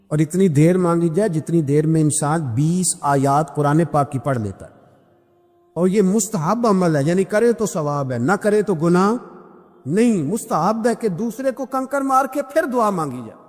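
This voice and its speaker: This man's voice sits at a high pitch. It swings very widely in pitch. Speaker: Islamic preacher giving a bayan. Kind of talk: Islamic sermon (bayan) with storytelling.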